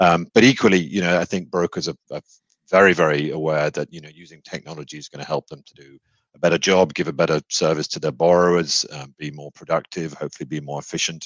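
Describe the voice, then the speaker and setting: With a British accent and a very deep, low pitch, the man speaks at a very fast pace with fairly even intonation and big swings in loudness, the sound dry and close with no echo. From UK. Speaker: mortgage technology executive. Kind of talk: interview. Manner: halting.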